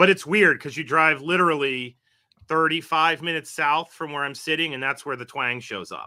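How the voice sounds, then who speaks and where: This man has a normal speaking voice, fairly high in pitch with ordinary pitch variation. He keeps a moderate pace, and his loudness swings widely. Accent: American. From West Virginia northern panhandle. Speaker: university professor. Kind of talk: podcast interview.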